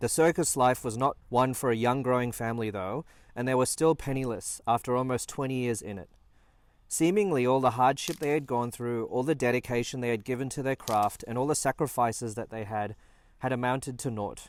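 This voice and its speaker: Speaking at a fairly quick pace, a man has an unremarkable speaking voice, medium pitch and ordinary pitch variation. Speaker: family documentary narrator. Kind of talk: documentary narration.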